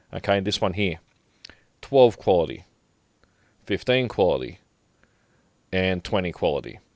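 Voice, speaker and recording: A man speaks at a fairly quick pace in a fairly low voice with ordinary pitch variation, recorded very cleanly against a silent background with a dry, close sound and no echo. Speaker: gaming tutorial creator. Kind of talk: tutorial. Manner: casual, halting with fillers.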